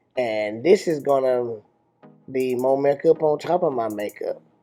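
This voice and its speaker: Fairly slow male speech with music playing behind it. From Africa. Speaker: father of the channel owner. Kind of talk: humorous makeup tutorial voiceover. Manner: playful, amused.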